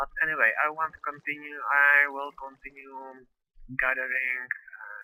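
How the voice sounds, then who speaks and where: With a non-native accent, this voice moves along at a rather unhurried pace. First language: not English. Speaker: gaming video creator. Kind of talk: let's play commentary. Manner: halting.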